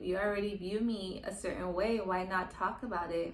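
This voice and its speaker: Soft-spoken and calm in tone, a woman speaks at a moderate pace with fairly even intonation. Audible echo fills the room. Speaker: podcast host. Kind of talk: personal confessional monologue. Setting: solo to camera, natural sunlight. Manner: calm, collected.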